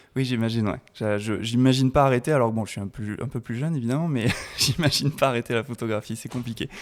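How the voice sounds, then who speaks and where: This man's pitch is medium and his intonation fairly even. He speaks at a very fast pace. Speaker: podcast host, photographer. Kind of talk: interview.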